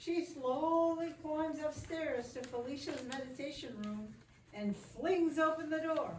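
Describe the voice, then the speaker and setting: Noticeable background noise sits behind a woman with a high pitch. She talks fairly slowly with ordinary pitch variation. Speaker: narrator. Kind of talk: reader's theater narration.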